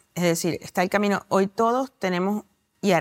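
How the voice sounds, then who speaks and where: A woman with an unremarkable speaking voice and medium pitch comes through in a dry, close sound with no echo. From Venezuela. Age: 40s. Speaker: novelist and journalist. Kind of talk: interview.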